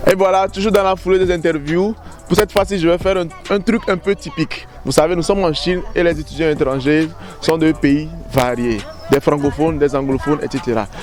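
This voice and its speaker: With music in the background, a man speaks at a high pitch and a very fast pace. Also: ordinary pitch variation. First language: French. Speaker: interviewer, video creator. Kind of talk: street interview.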